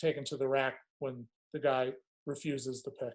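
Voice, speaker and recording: A man speaks with a strong Long Island accent. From Long Island, New York. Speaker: lacrosse coach. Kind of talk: coaching webinar. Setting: video call webinar. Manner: hesitant, many fillers and repeats.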